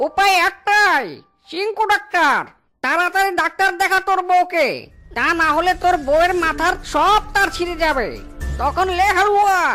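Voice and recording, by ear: A cartoonish character voice at a moderate pace, with faint music in the background.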